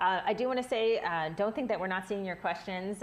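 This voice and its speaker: A woman speaks at a fairly quick pace with lively intonation and a medium pitch. She has a plain, everyday voice. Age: 30s. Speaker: livestream moderator. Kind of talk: live Q&A moderation.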